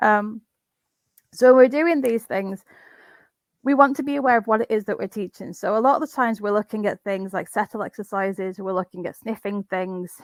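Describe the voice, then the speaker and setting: A woman talks at a fairly quick pace. Her voice is fairly high with ordinary pitch variation. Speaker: dog trainer. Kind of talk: webinar presentation. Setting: video call. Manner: fast.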